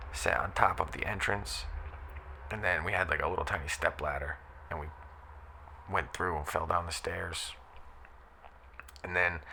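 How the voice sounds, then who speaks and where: With noticeable background noise, a man speaks in a calm tone at a moderate pace, leaving long, frequent pauses. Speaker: former backyard wrestler. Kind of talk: casual podcast monologue.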